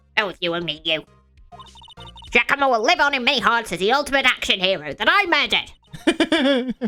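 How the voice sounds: A put-on character voice at a fairly quick pace, with very wide pitch swings, long, frequent pauses and faint music in the background. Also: woman, high pitch for a woman.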